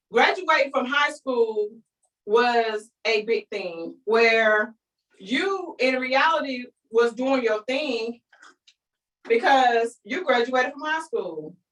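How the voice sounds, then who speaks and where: A woman with a North Carolina accent, her high-pitched voice and lively intonation at a very slow pace. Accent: Southern rural North Carolina. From eastern North Carolina (Kinston). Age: 30s. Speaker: business coach. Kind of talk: online training presentation. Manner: animated.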